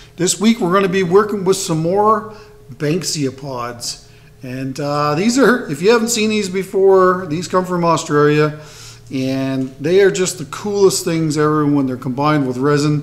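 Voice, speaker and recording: This man talks at a moderate pace in a high-pitched voice. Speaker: woodturning channel host. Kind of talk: casual tutorial intro. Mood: upbeat, friendly. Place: workshop.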